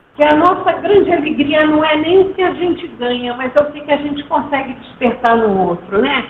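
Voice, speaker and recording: A woman talks. Noticeable background noise runs behind her. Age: 70s. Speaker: nonprofit co-founder and speaker. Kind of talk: online talk. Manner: halting.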